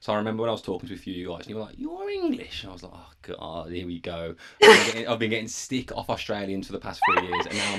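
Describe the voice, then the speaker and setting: A man talks at a very fast pace with hardly any pauses and big swings in loudness. Noticeable background noise is present. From England. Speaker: podcast host. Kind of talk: casual interview chat.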